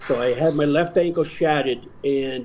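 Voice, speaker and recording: A man talks with a fairly high pitch and an American accent. His voice is somewhat breathy, with fairly even intonation. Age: 60s. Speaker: baseball umpire. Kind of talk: casual chat.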